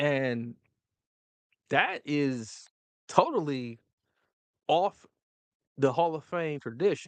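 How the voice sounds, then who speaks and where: Long, frequent pauses interrupt the speech. Overall the pace is very slow. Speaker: live news streamer. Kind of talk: live stream commentary. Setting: live stream. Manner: stuttering, tripping over words; off the cuff, halting.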